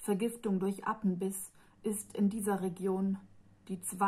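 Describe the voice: Words are simply read out. It is plain reading aloud.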